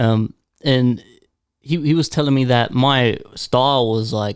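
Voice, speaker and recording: In an Australian accent, a man speaks at a medium pitch with fairly even intonation, the sound dry and close with no echo. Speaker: podcast host and rapper. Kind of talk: casual chat.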